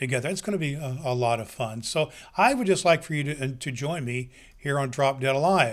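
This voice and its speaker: This man has an unremarkable speaking voice, fairly high pitched for a man, talking at a fairly quick pace with ordinary pitch variation on a very clean recording with a silent background. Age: 60s. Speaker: podcast host. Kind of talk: solo podcast introduction.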